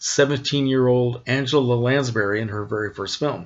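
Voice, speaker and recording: A man speaks at a moderate pace in an ordinary speaking voice. His pitch sits in the middle range, with fairly even intonation. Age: 60s. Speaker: classic film collector vlogger. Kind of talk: casual vlog update.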